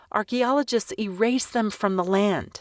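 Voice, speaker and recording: A woman with an ordinary speaking voice at a moderate pace, ordinary pitch variation, in a very clean, dry and close recording with a silent background and no echo. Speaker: voice actor, audiobook narrator. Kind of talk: audiobook narration, educational.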